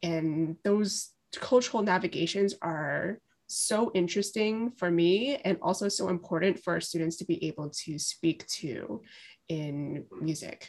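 A woman's fairly low voice with an American accent, an ordinary speaking voice, ordinary pitch variation, and a fairly slow pace, on a very clean recording with a silent background. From Brooklyn, New York. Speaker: music teacher. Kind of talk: interview.

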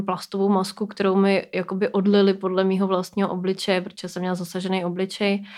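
Here a woman talks at a fairly quick pace in monotone, flat intonation. The recording is very clean, with a silent background. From Czechia, Plzeň. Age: 30s. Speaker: burn survivor and project co-founder. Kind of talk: interview.

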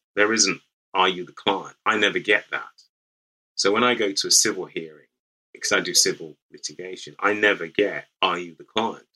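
A man with a British accent at a moderate pace. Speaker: lawyer. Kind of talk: interview conversation.

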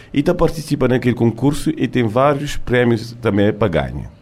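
Delivered by a man at a fairly quick pace, an ordinary speaking voice sits at a medium pitch with ordinary pitch variation. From France, Cape Verdean family. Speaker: contest coordinator. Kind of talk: casual interview. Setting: studio.

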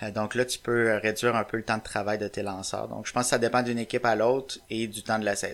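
In a Quebec accent, a man talks at a very fast pace with hardly any pauses. His voice sits at a medium pitch, with monotone, flat intonation. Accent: Québécois French. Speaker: baseball website writer. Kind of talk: casual chat.

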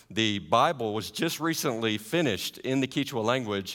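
A man at fairly low pitch and a moderate pace, with a slight Southern US accent. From US South; Carolinas. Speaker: missionary. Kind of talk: church talk to congregation. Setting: church. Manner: warm, friendly.

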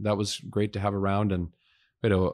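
An ordinary speaking voice moves at a fairly quick pace in a very clean recording with a silent background. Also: man. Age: 30s. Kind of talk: casual interview.

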